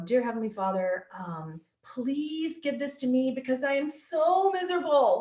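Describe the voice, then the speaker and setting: A woman puts on a whiny character voice pitched high. She talks at a moderate pace. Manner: sarcastic, whiny, mocking.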